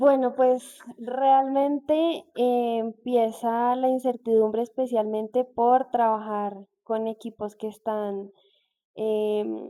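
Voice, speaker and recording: A woman's fairly high-pitched voice, dark and mellow in tone, with fairly even intonation and a very slow pace. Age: 20s. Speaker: industrial engineer. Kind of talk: interview.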